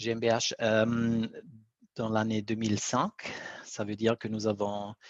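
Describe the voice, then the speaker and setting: In an Italian-Swiss accent, a man talks at a very slow pace with monotone, flat intonation. The sound is dry and close, with no echo. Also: medium pitch for a man. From Italy / Switzerland. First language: Italian (speaking French). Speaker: BIM coordinator, company founder. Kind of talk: webinar presentation.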